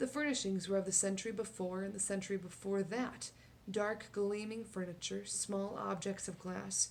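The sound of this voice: The intonation hardly strays, staying fairly even. It is an unforced reading voice.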